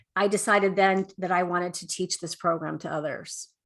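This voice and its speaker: A woman talks at a moderate pace. Her tone is bright and sharp. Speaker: life coach and speaker. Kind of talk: interview with a workshop and a told story. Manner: halting, many fillers.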